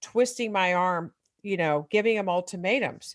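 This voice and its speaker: In a plain, everyday voice, a woman with an American accent talks at medium pitch with ordinary pitch variation against a quiet background. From US Midwest. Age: 60s. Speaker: author and recovering alcoholic parent. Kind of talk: interview testimony.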